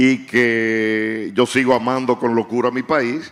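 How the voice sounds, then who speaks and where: Here a man talks at a medium pitch. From Dominican Republic (Santiago). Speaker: writer. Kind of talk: panel discussion. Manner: halting.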